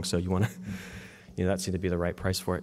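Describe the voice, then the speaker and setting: A man with an American accent, very deep and low in pitch, with fairly even intonation. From West Virginia. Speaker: media company co-founder and workshop presenter; presenter. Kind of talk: workshop talk. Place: hall.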